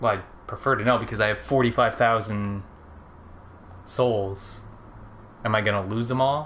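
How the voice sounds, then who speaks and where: Pausing long and often, a man with a fairly low voice speaks at a moderate pace with fairly even intonation. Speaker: gaming video co-host. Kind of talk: casual gameplay chat.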